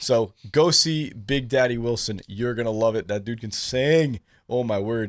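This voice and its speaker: He has a plain, everyday voice at medium pitch with ordinary pitch variation. This man speaks at a fairly slow pace. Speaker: radio host. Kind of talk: radio show hosting. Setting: studio.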